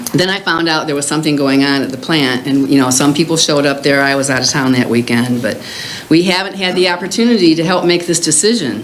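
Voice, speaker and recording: Noticeable background noise fills the clip. A woman's voice carries audible room echo. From US Midwest, Illinois. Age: 70s. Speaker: concerned resident speaking at public comment. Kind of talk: public comment at village board meeting.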